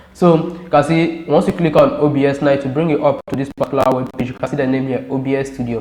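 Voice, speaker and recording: A man at a very fast pace with hardly any pauses, fairly high-pitched, fairly even in intonation, against noticeable background noise. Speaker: tech tutorial YouTuber. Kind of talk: tutorial.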